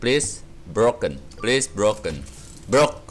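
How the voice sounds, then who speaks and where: The man talks very slowly. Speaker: gaming YouTuber. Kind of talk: gameplay commentary. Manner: animated; rambling, filler-heavy. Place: home room.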